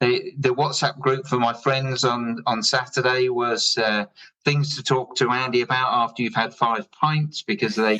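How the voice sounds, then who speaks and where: A man's bright, sharp voice with an English accent, very even loudness and ordinary pitch variation. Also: medium pitch for a man, moderate pace. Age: 60s. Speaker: drinks company founder. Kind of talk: podcast interview.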